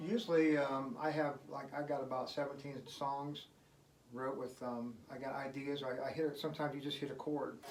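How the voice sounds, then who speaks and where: A man with a fairly high pitch speaks at a moderate pace with fairly even intonation. Audible room echo and noticeable background noise are present. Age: 60s. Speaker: guitarist and singer-songwriter. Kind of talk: casual interview. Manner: casual, with many fillers.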